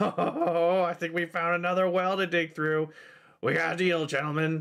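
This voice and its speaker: A man's put-on character voice, high in pitch, with monotone, flat intonation and very even loudness at a moderate pace, in a very clean recording with a silent background. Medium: actual play.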